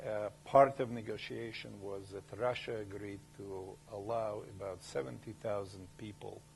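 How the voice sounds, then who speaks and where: There's audible room echo as a man with vocal fry speaks at a moderate pace in a fairly low pitch, with ordinary pitch variation. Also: big swings in loudness. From former Soviet Union. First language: Russian. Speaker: company founder and CEO. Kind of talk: lecture. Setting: university lecture hall with audience.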